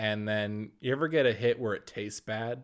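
This man has an unremarkable speaking voice at a medium pitch, talking at a moderate pace with fairly even intonation on a very clean recording with a silent background. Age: 20s. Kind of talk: casual chat.

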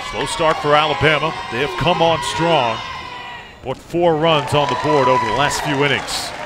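A man at a moderate pace with crowd noise in the background. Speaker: play-by-play announcer. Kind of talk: live sports commentary, play-by-play. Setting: broadcast booth, ESPN3 stream. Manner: brisk, energetic, polished broadcaster delivery.

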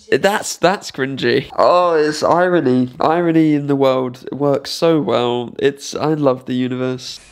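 Against a quiet background, a man talks at a fairly slow pace with hardly any pauses and ordinary pitch variation. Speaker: vlogger. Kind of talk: reaction commentary; casual reaction vlog chat. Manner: animated. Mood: embarrassed, laughing. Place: home room. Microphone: studio mic.

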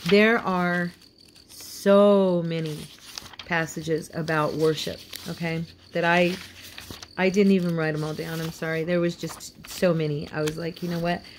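In an American accent, a woman speaks at a moderate pace and fairly low pitch with monotone, flat intonation, long, frequent pauses and light background noise. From Indiana, US Midwest. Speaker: devotional video host. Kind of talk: devotional teaching. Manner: partly read from notes. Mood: warm, earnest, reverent. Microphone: phone near.

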